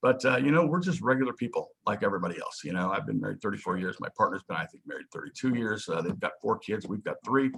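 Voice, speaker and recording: A man talks at a very fast pace. He hardly pauses at all. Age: 60s. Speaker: managing director of a life settlement funds company. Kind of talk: interview.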